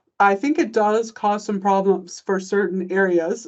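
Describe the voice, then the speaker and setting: Here a woman talks at a moderate pace with an American accent. She has a medium pitch and a normal speaking voice. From United States. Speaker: economist, government commissioner. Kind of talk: panel conversation.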